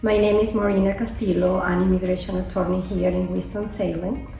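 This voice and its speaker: A woman speaks at a moderate pace with a Venezuelan accent. There is audible room echo and music in the background. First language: Spanish. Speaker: immigration attorney. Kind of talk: interview.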